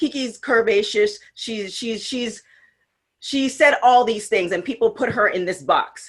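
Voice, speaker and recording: An ordinary speaking voice with lively intonation, on a very clean recording with a silent background. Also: woman. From Canada, West Indian descent. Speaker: podcast co-host, former TV host. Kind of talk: casual chat.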